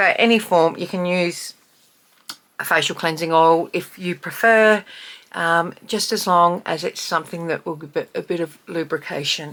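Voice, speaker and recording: Her pitch fairly low and her intonation fairly even, a woman talks in a normal speaking voice. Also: moderate pace. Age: 50s. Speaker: beauty vlogger. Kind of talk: casual talk to camera tutorial.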